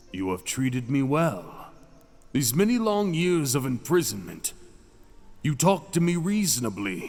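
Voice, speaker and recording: A man's put-on character voice, fairly high in pitch, with very wide pitch swings and a fairly slow pace. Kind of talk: romantic audio roleplay. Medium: solo performance. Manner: silky, teasing.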